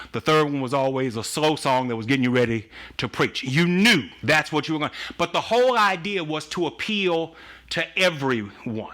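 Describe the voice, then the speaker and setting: Loud and bright, with a sharp tone, a man speaks at a fairly high pitch. His pace is moderate and his intonation lively. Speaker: pastor. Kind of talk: casual chat.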